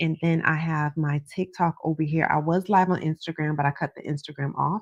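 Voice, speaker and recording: Soft-spoken and fairly low-pitched, a woman talks at a moderate pace with ordinary pitch variation. The sound is dry and close, with no echo. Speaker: psychic tarot reader streamer. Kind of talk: live stream chat. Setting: live stream. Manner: casual.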